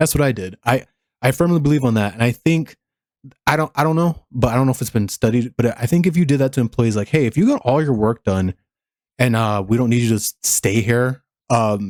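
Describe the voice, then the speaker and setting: An American accent marks this man's ordinary speaking voice, medium in pitch with ordinary pitch variation, at a fairly quick pace and very even loudness, with a dry, close sound and no echo. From USA. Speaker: reaction video creator. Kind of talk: casual reaction commentary.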